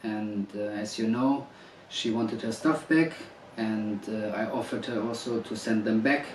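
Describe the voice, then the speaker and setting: Using a non-native accent, a man with a medium pitch speaks at a moderate pace with fairly even intonation, amid audible room echo and noticeable background noise. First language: not English. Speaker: husband making a public statement. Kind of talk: personal video statement. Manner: hesitant, many fillers.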